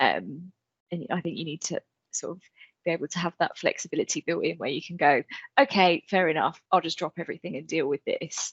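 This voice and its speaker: A woman's fairly low voice at a fairly quick pace, with ordinary pitch variation. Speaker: colleague guest. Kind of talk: casual chat. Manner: quiet, soft-spoken.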